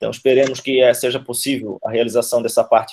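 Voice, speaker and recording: The speaker is male. His voice falls at a medium pitch. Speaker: institute member, congress organizer. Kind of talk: online meeting report. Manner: fast.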